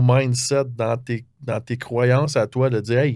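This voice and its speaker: The man's pace is fairly slow. His intonation holds fairly even. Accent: Quebec. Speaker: podcast host and confidence coach. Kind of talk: podcast interview.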